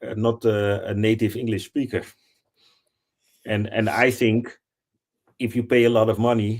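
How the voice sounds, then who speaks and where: Speaking with a non-native accent, a man uses monotone, flat intonation at a medium pitch. His moderate pace is broken by long, frequent pauses. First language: not English. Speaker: assistant, licensed football agent. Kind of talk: live stream discussion.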